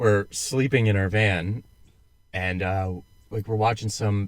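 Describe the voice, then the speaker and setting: A man speaks with an American accent at a fairly low pitch, with ordinary pitch variation. The recording is very clean, with a silent background. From United States. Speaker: podcast co-host, military veteran. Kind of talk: casual chat.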